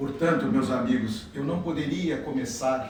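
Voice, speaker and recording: A man's fairly high voice carries audible room echo along with noticeable background noise. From southern Brazil, Rio Grande do Sul. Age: 70s. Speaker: spiritist lecturer. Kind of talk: lecture.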